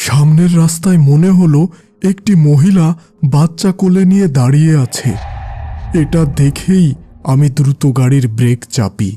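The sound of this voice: A man's cartoonish character voice at a fairly high pitch and fairly slow pace, with faint music in the background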